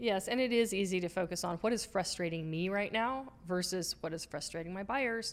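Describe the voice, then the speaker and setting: Medium in pitch with ordinary pitch variation, a woman speaks at a fairly quick pace with hardly any pauses in an unremarkable speaking voice. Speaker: marketing podcast co-host. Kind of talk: casual educational chat.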